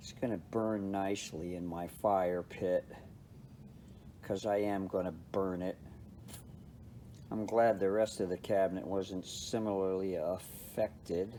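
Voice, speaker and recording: Pausing long and often, a man with a dark, mellow tone speaks fairly slowly at a fairly low pitch, his intonation fairly even. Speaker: amp restorer. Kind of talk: tutorial. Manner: casual.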